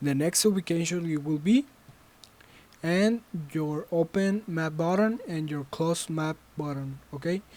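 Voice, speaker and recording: Long pauses come often in fairly slow speech. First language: Spanish. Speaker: student game developer. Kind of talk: tutorial. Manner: halting.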